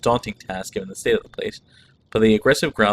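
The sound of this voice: The text is read in an unforced reading voice.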